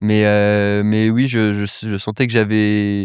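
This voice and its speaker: With a quiet background behind it, the audio is dry and close, free of any echo. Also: man. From Paris, France (early childhood near Cannes/Nice). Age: 20s. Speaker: entrepreneur, accelerator founder. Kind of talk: podcast interview. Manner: hesitant, many fillers.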